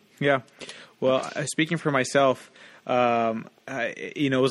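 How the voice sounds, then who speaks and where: The man's voice sits at a medium pitch, with fairly even intonation. He has an ordinary speaking voice. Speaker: film director. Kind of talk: casual chat. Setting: studio.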